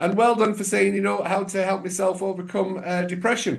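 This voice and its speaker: Against a quiet background, a man with an English accent speaks at a fairly quick pace. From England. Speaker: podcast host, mindset coach. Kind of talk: interview.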